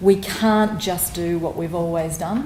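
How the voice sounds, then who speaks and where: With noticeable background noise and audible room echo, a woman with an Australian accent talks at a fairly slow pace in a fairly low pitch with fairly even intonation. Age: 40s. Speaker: public health advocate. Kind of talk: conference talk. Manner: hesitant, with fillers.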